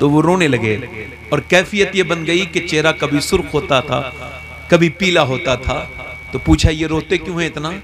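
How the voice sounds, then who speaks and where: Noticeable background noise accompanies a man whose pitch sits fairly high. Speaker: Islamic preacher. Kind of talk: sermon. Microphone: echo on PA mic.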